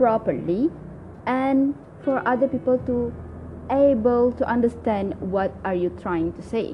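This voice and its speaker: A woman speaks fairly slowly in a Malaysian accent, her fairly high voice swinging very widely in pitch. Noticeable background noise runs underneath. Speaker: language learning podcaster. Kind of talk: solo talk tutorial. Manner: halting, many fillers.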